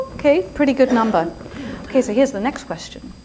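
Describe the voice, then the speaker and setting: Pitch swings very widely in this voice with an English accent, heard over noticeable background noise. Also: woman. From England. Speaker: yoga and spirituality teacher, speaker. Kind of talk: inspirational talk. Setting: stage with live audience. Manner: animated.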